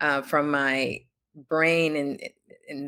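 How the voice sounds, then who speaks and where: With a Spanish accent, a woman is talking. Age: 30s. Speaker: author and entrepreneur, Navy veteran. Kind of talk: interview. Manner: halting, many fillers.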